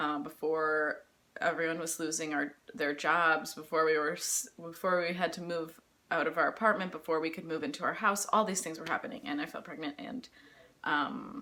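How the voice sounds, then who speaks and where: A woman's fairly low voice with a bright, sharp tone. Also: ordinary pitch variation, moderate pace. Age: 20s. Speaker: mom vlogger. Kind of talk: casual Q&A vlog. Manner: halting, many fillers.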